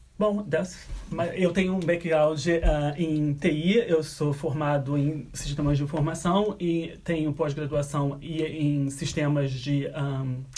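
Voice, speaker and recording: Over noticeable background noise, a man with a fairly high pitch speaks at a very slow pace with fairly even intonation and hardly any pauses. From Brazil. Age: 20s. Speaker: software engineer. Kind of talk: interview. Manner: halting.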